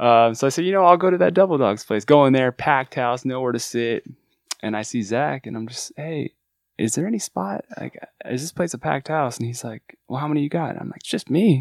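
On a very clean recording with a silent background and a dry, close sound with no echo, a man with an American accent talks fairly quickly at a medium pitch, with lively intonation and big swings in loudness. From Southern California. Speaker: music manager and restaurant server. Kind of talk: casual chat. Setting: studio.

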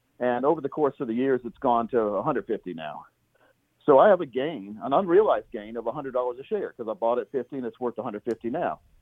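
A man has an ordinary speaking voice with a medium pitch. His intonation is lively and his pace moderate. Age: 50s. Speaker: financial planner and radio host. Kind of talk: casual interview.

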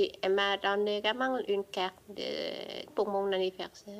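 The speaker has a Vietnamese accent and talks at a fairly slow pace with monotone, flat intonation. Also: woman. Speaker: immigrant witness. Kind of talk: testimony.

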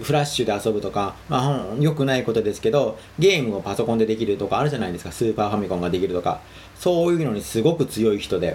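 Talking very fast with lively intonation, a man uses a medium-pitched voice. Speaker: solo podcaster and web article writer. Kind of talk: casual solo monologue. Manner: halting, many fillers.

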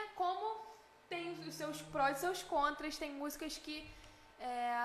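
Fairly slow speech from a woman amid noticeable background noise. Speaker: singer, festival contestant. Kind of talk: casual interview.

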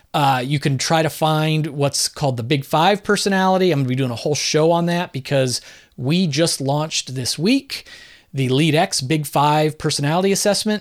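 A man with an American accent uses a plain, everyday voice at a fairly high pitch, with ordinary pitch variation and very even loudness. He keeps a moderate pace in a very clean recording with a silent background. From Southern California and northern New Jersey. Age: 50s. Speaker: podcast host and author. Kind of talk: solo podcast answering listener mail. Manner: casual, conversational.

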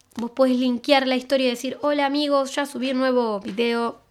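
A woman speaks in a Rioplatense accent at a moderate pace, her pitch high. The recording is very clean, with a silent background. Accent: Argentine Rioplatense Spanish. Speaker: podcast host. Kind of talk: casual monologue with social media tips.

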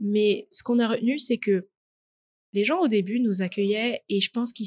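Against a quiet background, a woman speaks somewhat breathily at a moderate pace, in a dry, close sound with no echo. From Paris region, France. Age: 20s. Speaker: student. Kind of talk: interview testimony. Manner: hesitant, many fillers.

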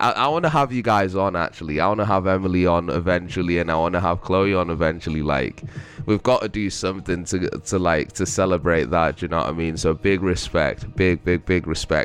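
A man speaks with a very deep, low pitch and ordinary pitch variation. His loudness stays very even, with hardly any pauses. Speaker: podcast host. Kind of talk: casual solo monologue. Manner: slow.

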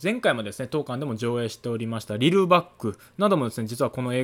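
A man's medium-pitched voice at a very fast pace, full of lively intonation. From Kansai, Japan. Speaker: cinema staff member and podcast host. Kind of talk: solo podcast talk. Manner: polite, formal.

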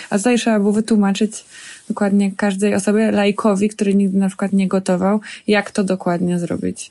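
A woman of medium pitch speaks at a fairly quick pace, her tone dark and mellow and her intonation flat and monotone. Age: 30s. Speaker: chef and restaurant owner. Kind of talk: casual interview. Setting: outdoors in a forest.

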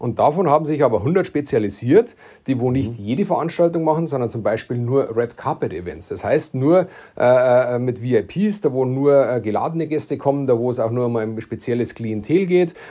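A man speaks at a moderate pace and a medium pitch. His tone is dark and mellow, with lively intonation. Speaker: entrepreneur, podcast co-host. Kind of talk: casual chat.

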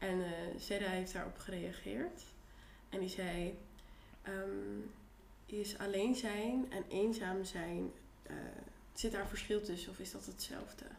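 A woman at a very slow pace with long, frequent pauses, plus audible room echo and noticeable background noise. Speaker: podcast host. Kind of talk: casual chat.

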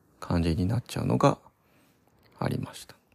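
A man speaks at a fairly quick pace with vocal fry. His tone is relaxed and his intonation lively. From Kanagawa, Odawara. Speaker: podcaster. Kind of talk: solo casual monologue. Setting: parents' home. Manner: relaxed, hesitant with fillers.

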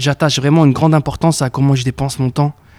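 Dry and close with no echo, the recording captures a man speaking in a dark, mellow tone with fairly even intonation. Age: 20s. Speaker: entrepreneur. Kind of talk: casual interview. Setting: in person office. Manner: hesitant, repeats words.

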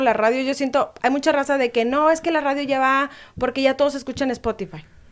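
Recorded very cleanly against a silent background, a woman with a high pitch speaks at a moderate pace. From Mexico, Veracruz (Boca del Río). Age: 20s. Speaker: radio presenter. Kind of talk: casual chat.

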